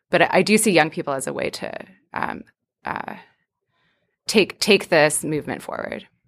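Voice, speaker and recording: In a very clean recording with a silent background, a woman talks at a moderate pace, leaving long, frequent pauses and making big swings in loudness. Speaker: graduate student. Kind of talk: casual chat. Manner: hesitant, many fillers.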